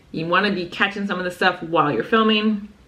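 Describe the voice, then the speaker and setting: Noticeable noise fills the background. The talking races along very fast. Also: woman. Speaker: author and small business owner. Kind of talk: casual vlog tutorial.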